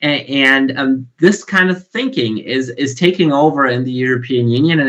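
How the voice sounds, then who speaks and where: A bright, sharp tone in a German accent, at a fairly slow pace. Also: man. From Germany. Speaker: conference panelist. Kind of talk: panel discussion. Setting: video call. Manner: halting, many fillers and repetitions.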